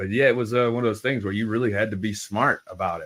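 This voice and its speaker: In a Southern US accent, a man speaks fairly quickly in a fairly low voice with fairly even intonation. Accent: Southern accent, noticeable. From US South, New Orleans area, Louisiana. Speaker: cannabis grower, podcast guest. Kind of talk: casual chat.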